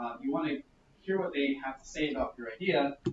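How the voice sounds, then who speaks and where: A man talks at a fairly quick pace. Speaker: workshop presenter on growth hacking. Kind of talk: workshop presentation. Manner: fast.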